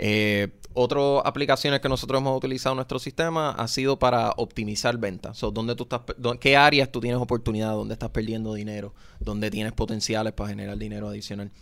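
Very fast speech with fairly even intonation. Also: man, medium pitch for a man. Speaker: economist. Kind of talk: interview.

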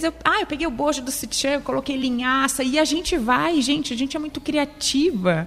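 Delivery moves at a moderate pace. Pitch variation is ordinary. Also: woman. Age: 30s. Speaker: cancer survivor. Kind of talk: testimony.

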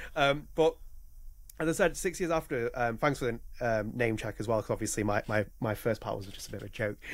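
A man with a British accent at medium pitch, talking at a fairly quick pace with lively intonation. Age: 30s. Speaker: podcast host. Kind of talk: casual chat.

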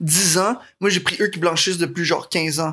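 In a Quebec accent, the speaker talks at a moderate pace. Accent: Québécois French. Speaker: podcast guest. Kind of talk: casual chat.

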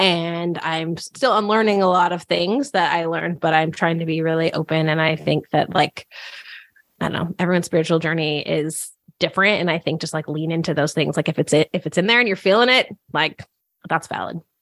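An ordinary speaking voice with an American accent moves at a fairly quick pace, showing ordinary pitch variation. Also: woman, fairly low pitch for a woman. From Northern California. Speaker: podcast host and sports fan. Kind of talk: casual chat. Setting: holiday rental, remote recording.

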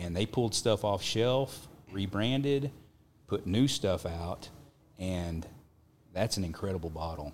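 In a Texas accent, a man with a very deep, low voice speaks at a fairly slow pace with lively intonation and long, frequent pauses. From Texas Panhandle. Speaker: whiskey brand owner. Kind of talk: casual chat.

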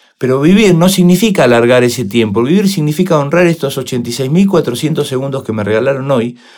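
Speaking in a plain, everyday voice at a moderate pace, a man of medium pitch uses lively intonation. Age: 50s. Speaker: motivational speaker and coach. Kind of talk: interview.

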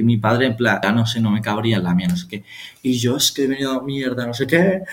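Over noticeable background noise, a man talks with lively intonation at a medium pitch. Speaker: podcast co-host. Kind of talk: casual chat.

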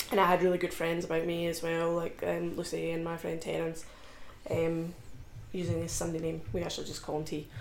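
With a Scottish accent, a woman talks at a fairly quick pace and fairly low pitch. Her intonation is monotone and flat, and there is noticeable background noise. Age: 20s. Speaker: powerlifter. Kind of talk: casual chat.

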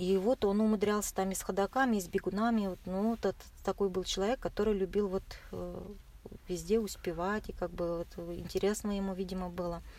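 The woman's voice sits at a medium pitch with a dark, mellow tone. She keeps a moderate pace and a monotone, flat intonation. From Russia, Chuvashia. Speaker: marathon runner. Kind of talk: interview. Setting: in a car. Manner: soft-spoken.

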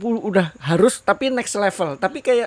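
A man's high-pitched voice, fairly slow in pace, with very wide pitch swings. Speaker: podcast co-host. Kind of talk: casual chat.

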